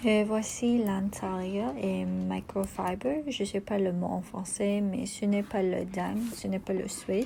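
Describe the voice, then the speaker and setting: A woman speaks with a non-native accent at a very slow pace. She leaves hardly any pauses. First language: not French (speaking French). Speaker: video blogger. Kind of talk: casual product show-and-tell. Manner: halting, many hesitations.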